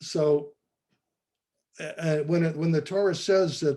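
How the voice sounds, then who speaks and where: A man with an American accent, fairly high in pitch, with a dark, mellow tone. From US Midwest. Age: 70s. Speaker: artist and former art professor. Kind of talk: interview testimony. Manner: halting, with false starts.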